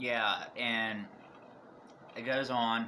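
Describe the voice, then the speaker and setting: Over noticeable background noise and audible room echo, a man speaks in a monotone, flat intonation. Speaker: YouTuber reviewing horror movies. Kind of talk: casual video review. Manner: rambling, halting with restarts.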